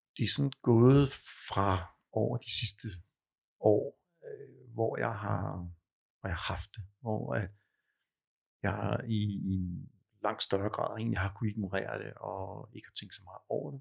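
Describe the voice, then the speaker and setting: This man talks at a very slow pace with long, frequent pauses and big swings in loudness. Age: 50s. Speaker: client with tinnitus. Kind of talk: therapy session. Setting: studio. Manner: halting, many fillers.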